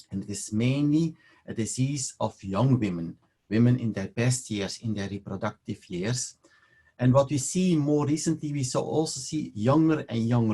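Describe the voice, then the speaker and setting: A man's somewhat breathy voice with a Belgian accent, medium pitch, dark, mellow tone, lively intonation and moderate pace. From Belgium (Leuven). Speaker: fertility specialist doctor. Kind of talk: webinar lecture.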